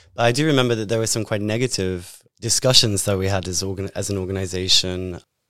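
A man's fairly low voice in a British accent, bright and sharp in tone, at a very fast pace with hardly any pauses and ordinary pitch variation, in a very clean recording with a silent background. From Britain. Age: 30s. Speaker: podcast host, survivor advocate. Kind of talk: interview.

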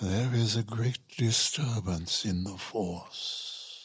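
A man uses a put-on character voice at a medium pitch and a very slow pace. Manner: sinister.

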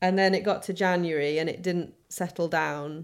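On a very clean recording with a silent background, a woman in a northern English accent speaks at a fairly slow pace and fairly low pitch with monotone, flat intonation. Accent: soft northern English. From Sheffield, northern England. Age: 30s. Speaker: interviewee with Crohn's disease. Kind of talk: casual interview.

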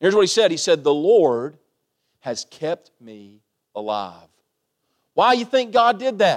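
Speaking at a fairly slow pace with long, frequent pauses, a man with a high pitch shows very wide pitch swings and big swings in loudness. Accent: Kentucky. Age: 30s. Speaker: pastor. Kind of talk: sermon. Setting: church. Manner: animated.

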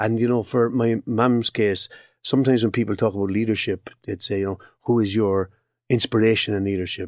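A man with a Cork accent speaks at medium pitch and a fairly quick pace in a monotone, flat way, on a very clean recording with a silent background and a dry, close sound with no echo. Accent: Irish, Cork. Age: 60s. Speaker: occupational psychologist. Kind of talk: interview.

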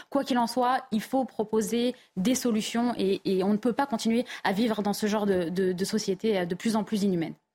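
With hardly any pauses, a woman speaks in a fairly high, somewhat breathy voice with a dark, mellow tone, ordinary pitch variation and very even loudness. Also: moderate pace. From France, Paris suburbs (Val-d'Oise). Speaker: journalist and author. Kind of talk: TV panel debate. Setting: TV studio.

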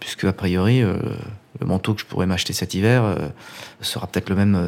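A man with a fairly low pitch and a dark, mellow tone talks at a moderate pace with ordinary pitch variation. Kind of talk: casual interview.

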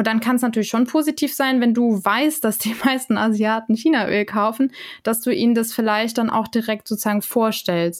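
On a very clean recording with a silent background, a woman with an unremarkable speaking voice talks at a moderate pace and fairly high pitch, her loudness very even. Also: ordinary pitch variation. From Germany. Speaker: intercultural trainer and lecturer. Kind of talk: casual interview.

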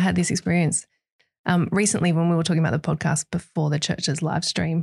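Somewhat breathy and fairly low-pitched, a woman speaks at a fairly quick pace with fairly even intonation, in a dry, close sound with no echo and a quiet background. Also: very even loudness. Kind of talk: casual faith discussion.

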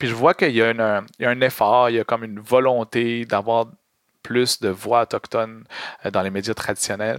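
A man with a plain, everyday voice talks at a moderate pace with medium pitch and fairly even intonation, the sound dry and close with no echo on a very clean recording with a silent background. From Quebec, Montreal. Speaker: activist and content creator, former drama teacher. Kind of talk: casual interview.

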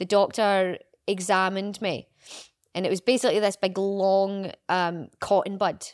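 A woman's medium-pitched, unremarkable speaking voice at a fairly slow pace, on a very clean recording with a silent background. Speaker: podcast co-host, mother.

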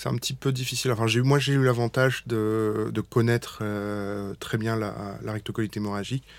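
The recording is very clean with a silent background as a man talks at a moderate pace with fairly even intonation. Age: 30s. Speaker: general practitioner and patient's husband. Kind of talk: testimony. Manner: halting.

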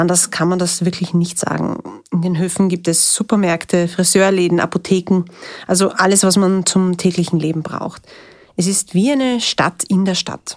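Her intonation fairly even, a woman talks in a medium pitch at a moderate speed. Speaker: reporter. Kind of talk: narrated field reporting. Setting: outdoors on location.

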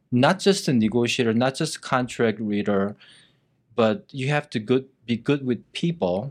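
A man with a Korean accent speaks at a moderate pace in a medium pitch, his intonation lively, on a very clean recording with a silent background. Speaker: real estate agent. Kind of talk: casual interview.

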